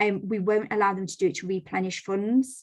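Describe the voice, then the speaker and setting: Intonation stays fairly even as a woman talks. The background is quiet. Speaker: lender representative presenting to mortgage brokers. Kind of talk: business presentation on a video call. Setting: video call. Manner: fast.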